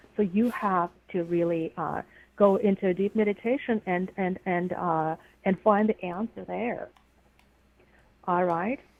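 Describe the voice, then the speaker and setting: With a Russian accent, a woman speaks at a fairly slow pace in a medium pitch with ordinary pitch variation. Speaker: psychic. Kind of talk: psychic reading.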